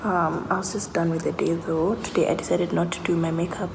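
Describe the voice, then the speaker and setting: A woman talks at a moderate pace. Noticeable background noise and audible room echo are present. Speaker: lifestyle vlogger. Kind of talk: vlog talk to camera. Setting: office.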